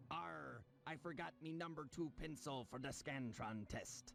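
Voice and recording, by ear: Someone talks in a put-on character voice at a moderate pace, with clear background noise behind. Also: man, medium pitch for a man.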